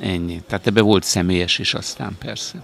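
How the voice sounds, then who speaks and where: Noticeable background noise sits behind the voice. A man speaks with a very deep, low pitch. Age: 60s. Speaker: conference organizer, former TV journalist. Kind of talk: interview.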